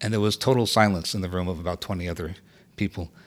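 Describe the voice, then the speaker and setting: Talking at a very fast pace, a man with an American accent uses a fairly low pitch and ordinary pitch variation. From US South, Miami. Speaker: theater producer and poet. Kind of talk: casual chat. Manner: halting.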